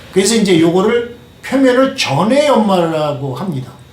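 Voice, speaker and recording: Through audible room echo and noticeable background noise comes a man's voice, high in pitch. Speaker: kitchenware manufacturer. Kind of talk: product demonstration. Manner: hesitant, many fillers.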